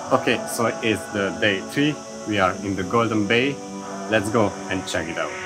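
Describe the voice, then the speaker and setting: Over clear music in the background, a man speaks at a moderate pace. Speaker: travel vlogger. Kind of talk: casual travel vlog talk to camera. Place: street. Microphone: phone near.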